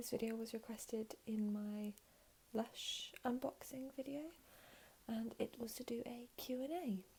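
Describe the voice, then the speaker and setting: A soft-spoken woman talks at a fairly slow pace in a high voice. Noticeable background noise runs underneath. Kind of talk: ASMR talking Q&A to camera.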